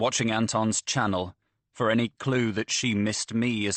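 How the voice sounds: The background stays quiet. A natural reading voice carries fairly even intonation.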